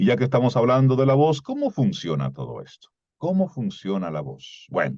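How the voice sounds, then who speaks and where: A man with a dark, mellow tone talks at medium pitch and a moderate pace, his pitch swinging very widely. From Dominican Republic, Cibao (Salcedo). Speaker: voice and communication coach. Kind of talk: lecture.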